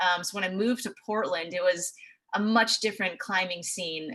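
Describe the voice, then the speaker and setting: A woman's bright, sharp voice at medium pitch, with a West Coast accent, fairly even intonation and a fairly quick pace. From US Pacific Northwest, Seattle. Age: 20s. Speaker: TV meteorologist. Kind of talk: presentation. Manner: casual.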